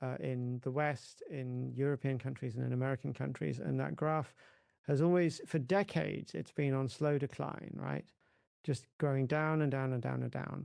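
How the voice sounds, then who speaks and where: An English-accented male voice, very cleanly recorded against total silence. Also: moderate pace. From England. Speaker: religion scholar, co-author. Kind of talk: podcast interview. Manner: halting, repeats words.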